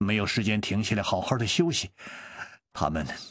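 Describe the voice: The pitch moves in an ordinary way during this plain reading aloud, set against a quiet background.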